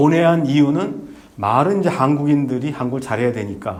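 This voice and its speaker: The speaker's pitch varies in an ordinary way. Room echo is audible. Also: man. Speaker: former diplomat and visiting professor giving a lecture. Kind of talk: lecture. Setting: lecture hall with audience. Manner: halting, many fillers.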